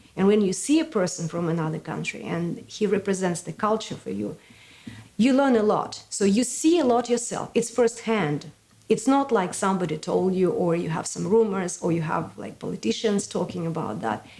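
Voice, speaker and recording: A woman speaks with a Russian accent at a moderate pace. Her voice sits at a medium pitch with lively intonation. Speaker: community event organizer. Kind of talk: interview.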